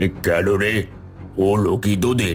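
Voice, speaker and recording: Over clear background noise, a man uses a cartoonish character voice pitched fairly low. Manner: curt, haughty.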